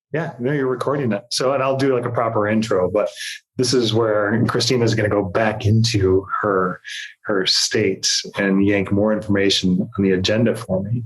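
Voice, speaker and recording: A man speaks in a somewhat breathy voice at a fairly low pitch. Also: fairly even intonation, moderate pace, very even loudness. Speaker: podcast co-host. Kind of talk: casual chat. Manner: whispering.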